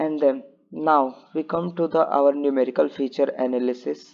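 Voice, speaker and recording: A man with a fairly high-pitched voice talks at a moderate pace with ordinary pitch variation. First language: not English. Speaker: student presenting a project. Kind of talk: tutorial. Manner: halting.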